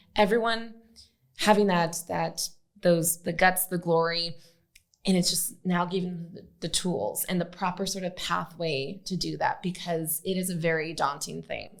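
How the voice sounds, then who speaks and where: At a moderate pace with fairly even intonation, this is a plain, everyday voice with an American accent. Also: woman, fairly low pitch for a woman. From Arizona, Phoenix. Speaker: podcast host. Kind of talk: podcast interview.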